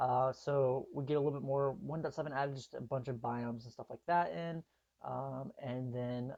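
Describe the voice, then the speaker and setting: A man of medium pitch talks at an average speed, his intonation mostly level. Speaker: gaming youtuber. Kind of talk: gameplay commentary. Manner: halting, many fillers.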